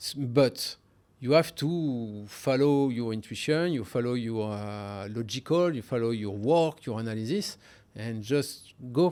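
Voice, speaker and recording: In a very clean recording with a silent background, a man speaks at a fairly slow pace in a dark, mellow tone. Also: medium pitch for a man, ordinary pitch variation. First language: French. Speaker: hedge fund trader. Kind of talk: interview. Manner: hesitant, many fillers.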